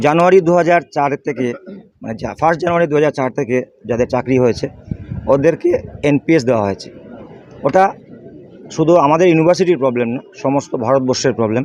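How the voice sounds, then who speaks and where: A man's pitch varies in an ordinary way as noticeable background noise carries on around him. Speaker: non-teaching university staff member at protest. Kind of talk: interview.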